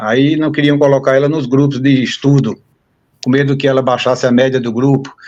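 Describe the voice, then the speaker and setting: This man's voice is pitched fairly high. He moves along at a fairly quick pace. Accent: northeastern Brazilian. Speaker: university professor. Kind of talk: interview conversation.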